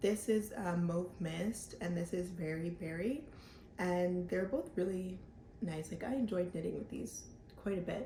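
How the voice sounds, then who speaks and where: This woman's voice is medium in pitch, dark and mellow, and somewhat breathy. She talks at a fairly slow pace with ordinary pitch variation. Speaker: knitting podcaster. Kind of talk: casual vlog chat. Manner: casual, filler-heavy.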